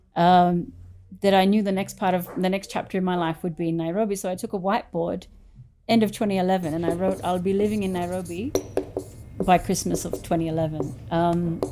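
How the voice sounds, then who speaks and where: A woman with an Australian accent talks at a fairly quick pace, her intonation fairly even. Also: medium pitch for a woman. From Australia, country Victoria. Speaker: furniture business owner. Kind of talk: interview.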